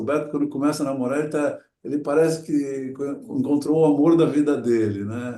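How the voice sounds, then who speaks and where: This man's tone is dark and mellow. He keeps his intonation fairly even. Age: 60s. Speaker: adventurer and motivational speaker. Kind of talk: talk to an audience. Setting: talk before a group. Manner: reflective, with hesitations.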